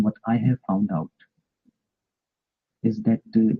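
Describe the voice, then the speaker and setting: Speaking at a fairly slow pace, a man with a non-native accent has a fairly low pitch and ordinary pitch variation. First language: not English. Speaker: participant in online debate room. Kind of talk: heated debate. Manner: halting with many fillers.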